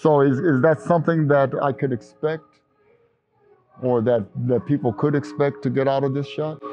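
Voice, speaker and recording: Music plays in the background as a man with a fairly high voice speaks at a moderate pace. His intonation stays fairly even, broken by long, frequent pauses. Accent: American. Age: 70s. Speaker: company CEO. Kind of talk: casual chat. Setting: vaccination site.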